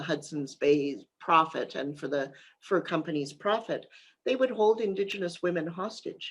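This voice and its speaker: With a Canadian accent, the speaker talks at a fairly slow pace with ordinary pitch variation over a quiet background. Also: woman. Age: 60s. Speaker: author. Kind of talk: interview. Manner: halting, many fillers.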